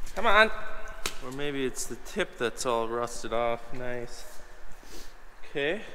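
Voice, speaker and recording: A man at a very slow pace with lively intonation and long, frequent pauses over light background noise. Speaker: farmer and video host. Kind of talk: casual vlog narration. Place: garage. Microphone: phone near.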